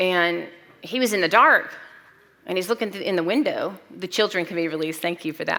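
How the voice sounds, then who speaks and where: Loud and bright, sharp in tone, a woman talks at a fairly quick pace with a medium pitch and ordinary pitch variation. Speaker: pastor. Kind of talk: sermon.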